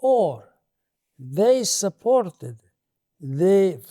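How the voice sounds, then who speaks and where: With an Italian accent, a man speaks in a dark, mellow tone at a high pitch, his voice making very wide pitch swings in a very clean, silent recording with a dry, close sound and no echo. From Italy. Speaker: political philosopher, professor. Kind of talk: interview. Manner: halting.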